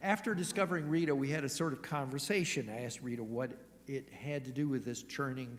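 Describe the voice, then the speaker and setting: Audible room echo surrounds a man speaking at a fairly quick pace. His pitch is medium, with ordinary variation. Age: 60s. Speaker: church lay leader. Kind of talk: sermon.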